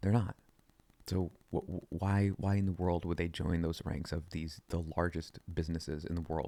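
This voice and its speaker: A quiet man's very deep, low voice, dark and mellow in tone, monotone and flat, at a moderate pace. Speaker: podcast host. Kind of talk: casual monologue. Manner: talking quietly; halting, repeats words.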